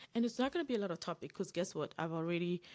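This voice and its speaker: Ordinary pitch variation on a very clean recording with a silent background. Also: woman. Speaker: career coach. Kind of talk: livestream masterclass. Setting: live stream on social media. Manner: fast talker.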